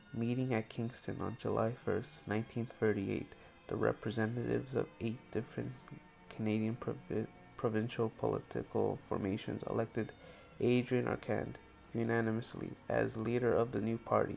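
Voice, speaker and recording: With music in the background, the words come at a moderate pace. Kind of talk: history narration. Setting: headset microphone.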